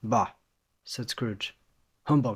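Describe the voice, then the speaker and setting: A man with a medium-pitched voice speaks in an American accent, his pitch moving in an ordinary way. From Los Angeles, California. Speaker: English teacher. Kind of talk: audiobook reading of a classic novel.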